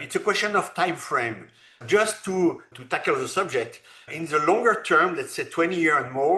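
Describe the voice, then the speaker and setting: A man at a fairly slow pace, with long, frequent pauses and big swings in loudness. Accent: French. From France. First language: French. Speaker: robotics entrepreneur. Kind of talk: interview. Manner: halting.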